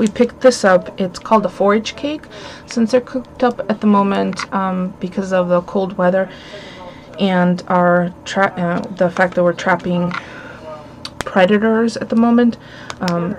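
Amid light background noise, a woman speaks with fairly even intonation and long, frequent pauses. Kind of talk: casual haul vlog chat. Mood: cheerful, amused. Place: home room. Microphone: webcam.

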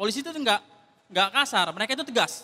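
His intonation is lively, and he speaks at a very fast pace. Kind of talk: stand-up comedy; stand-up comedy routine. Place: stage. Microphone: handheld.

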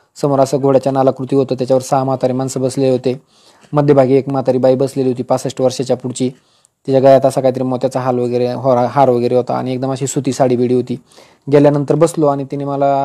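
The background is quiet as a man speaks in a dark, mellow tone. His intonation is monotone and flat. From rural Maharashtra, Nashik district (Sinnar); Maharashtra. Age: 40s. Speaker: senior income tax officer giving career guidance. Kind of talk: motivational talk to exam aspirants. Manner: informal, conversational. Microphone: earbuds.

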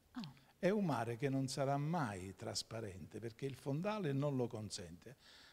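Here a man talks at a moderate pace. His pitch swings very widely. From Campania, Giugliano near Naples; Campania, Italy. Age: 60s. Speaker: lawyer. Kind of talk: TV interview. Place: studio. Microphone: handheld.

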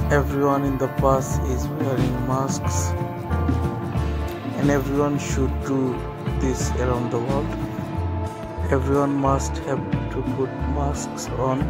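Over loud background music, the voice moves at a very slow pace with a dry sound and no echo. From Bangladesh. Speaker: travel vlogger. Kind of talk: casual vlog narration. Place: bus. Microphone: phone near.

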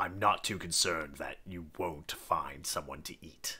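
A man puts on a character voice that is very deep and low, delivered at a moderate pace. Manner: dry, polite, sardonic.

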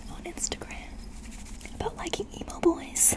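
Whispering, a man talks at a moderate pace. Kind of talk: whispery roleplay talk to viewer. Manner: soft close ASMR murmur.

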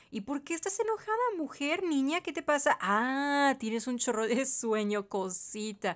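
Her pitch is high and swings very widely as the woman speaks at a fairly slow pace. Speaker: gaming youtuber. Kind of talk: gameplay commentary. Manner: animated.

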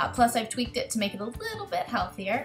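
Fairly quick speech from a woman over clear background music. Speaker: cooking channel host. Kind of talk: casual recipe tutorial. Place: kitchen. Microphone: webcam.

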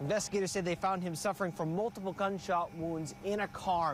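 Delivered at a moderate pace, the voice sounds dry and echo-free over noticeable background noise. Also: man. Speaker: TV news reporter. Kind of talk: live field news report. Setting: outdoors. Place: street.

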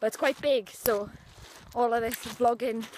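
At a moderate pace, the delivery keeps a fairly even intonation. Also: woman.

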